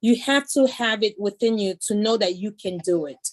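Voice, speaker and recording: A woman speaks with a Haitian accent and ordinary pitch variation. The sound is dry and close, with no echo. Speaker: judge. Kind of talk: panel discussion. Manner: animated.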